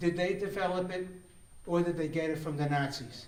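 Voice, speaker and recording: Noticeable background noise and audible room echo around a man at a moderate pace. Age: 70s. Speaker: conference speaker. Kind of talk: conference talk. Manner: halting, repeats words.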